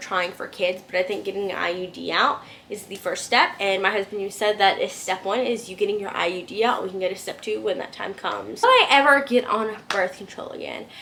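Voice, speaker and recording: Over noticeable background noise, a woman at medium pitch talks at a fairly quick pace with ordinary pitch variation. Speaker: vlogger. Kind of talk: casual chat. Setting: at home. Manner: fast.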